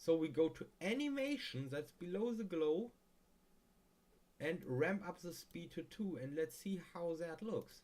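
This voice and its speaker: A man with a non-native accent speaks at a fairly slow pace. His high pitch carries a dark, mellow tone and ordinary pitch variation. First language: not English. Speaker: video tutorial maker. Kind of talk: tutorial. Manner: casual, halting with fillers.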